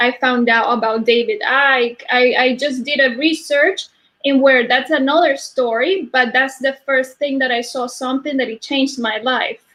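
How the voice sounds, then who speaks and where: A woman with a Spanish accent speaks high at a moderate pace, with ordinary pitch variation and hardly any pauses. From Argentina. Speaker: energy healer. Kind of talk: interview. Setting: live stream. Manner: halting.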